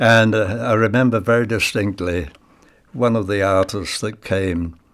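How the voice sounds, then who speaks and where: A man with an East Anglian accent, fairly low in pitch, at a moderate pace with ordinary pitch variation. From England, Ipswich (Suffolk). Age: 90s. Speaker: retired magician and war veteran. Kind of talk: personal reminiscence. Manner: halting.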